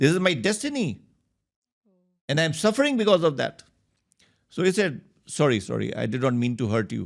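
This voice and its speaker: Vocal fry at a fairly quick pace, with very wide pitch swings and long, frequent pauses. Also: man, fairly high pitch for a man. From India. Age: 60s. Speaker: endocrinologist. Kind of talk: podcast interview. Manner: storytelling, measured.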